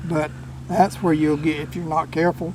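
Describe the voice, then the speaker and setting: Over noticeable background noise, a man with a Southern US accent talks at a moderate pace in a fairly high pitch. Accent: rural US South. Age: 60s. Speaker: commercial catfisherman. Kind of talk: casual storytelling interview. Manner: animated.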